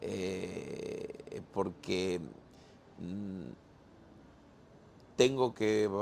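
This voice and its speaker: A man talks with ordinary pitch variation. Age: 60s. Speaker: pastor. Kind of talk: casual chat. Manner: halting.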